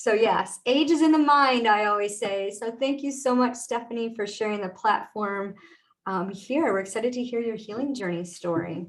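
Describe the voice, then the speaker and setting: A woman's fairly high voice at a moderate pace, with ordinary pitch variation, in a plain, everyday voice. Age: 50s. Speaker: podcast host and mindset coach. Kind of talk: podcast interview. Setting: live video stream.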